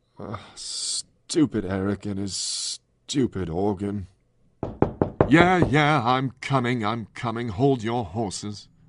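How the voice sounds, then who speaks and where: A man in a put-on character voice speaks at a fairly slow pace, with long, frequent pauses. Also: medium pitch for a man. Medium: audio drama. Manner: smug, teasing.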